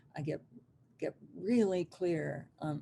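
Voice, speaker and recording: A woman's somewhat breathy voice with a dark, mellow tone and lively intonation. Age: 70s. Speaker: hypnotherapist. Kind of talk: interview.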